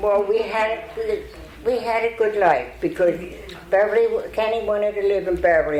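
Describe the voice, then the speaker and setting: Lively intonation moves along at a moderate pace. Audible room echo and noticeable background noise fill the recording. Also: woman. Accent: American. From southern New Jersey (Burlington County). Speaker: longtime local resident. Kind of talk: storytelling talk. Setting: stage with audience.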